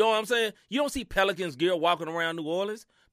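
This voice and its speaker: With a Southern US accent, a man talks very fast at a high pitch, animated, with lively intonation and a bright, sharp tone, captured in a very clean recording with a silent background and a dry, close sound with no echo. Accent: Southern country twang. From US Mid-South. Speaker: sports podcast host. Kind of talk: casual chat.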